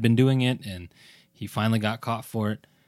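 The recording is very clean, with a silent background. A man talks in an unremarkable speaking voice. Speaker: podcast host. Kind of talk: casual chat.

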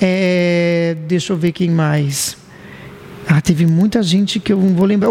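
Noticeable background noise sits behind a man who speaks high for a man at a fairly slow pace. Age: 30s. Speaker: radio announcer and podcast host. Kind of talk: casual chat.

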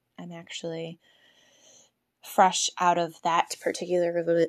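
A woman's fairly slow, monotone, flat speech, with a dry, close sound and no echo. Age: 30s. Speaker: podcast host. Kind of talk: solo monologue. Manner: hesitant, many fillers.

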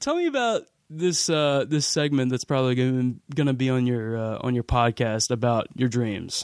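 In a normal speaking voice, a man with an American accent talks at a medium pitch and moderate pace, with very even loudness, fairly even intonation and hardly any pauses. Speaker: podcast host. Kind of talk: casual chat. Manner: casual, profane.

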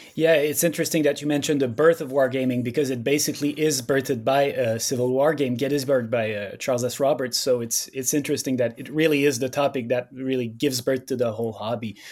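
Speaking with a French accent, a man talks at a very fast pace with hardly any pauses and fairly even intonation. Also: medium pitch for a man. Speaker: podcast host. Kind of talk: casual chat.

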